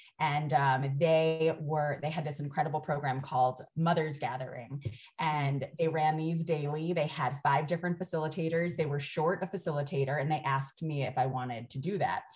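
A woman speaks in a very deep, low, somewhat breathy voice at a moderate pace. She hardly pauses, and her intonation stays fairly even. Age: 40s. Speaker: doula and parenting educator. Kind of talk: casual interview chat.

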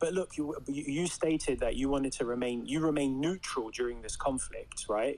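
At a fairly slow pace, a man speaks with a British accent. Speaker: audience caller on live podcast. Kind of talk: argumentative, formal debate style.

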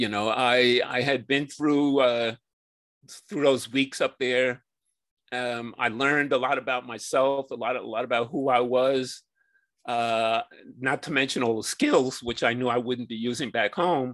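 Against a quiet background, a man with an American accent speaks in a plain, everyday voice, medium in pitch, with fairly even intonation. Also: fairly slow pace. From New York City. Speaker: wilderness trekker and author. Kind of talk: interview.

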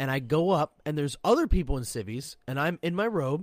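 A man with a fairly high pitch talks loudly at a moderate pace, his intonation lively. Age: 30s. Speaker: Coast Guard sailor and podcast co-host. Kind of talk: casual chat.

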